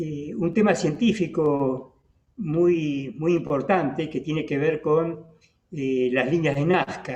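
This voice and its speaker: A man with a fairly high pitch, ordinary pitch variation, and a very slow pace. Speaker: radio host. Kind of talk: interview. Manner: hesitant, many fillers.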